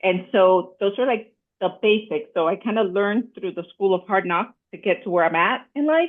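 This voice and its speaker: The pace is moderate. Pitch variation is ordinary. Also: woman, medium pitch for a woman. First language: not English. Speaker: podcast co-host and debut novelist. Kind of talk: casual chat.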